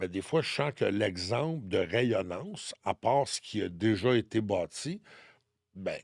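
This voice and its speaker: With a Quebec accent, a man at medium pitch speaks at a very slow pace with lively intonation, on a very clean recording with a silent background and a dry, close sound with no echo. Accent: Québécois French. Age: 60s. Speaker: numerologist and spiritual guide. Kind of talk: podcast interview, personal testimony.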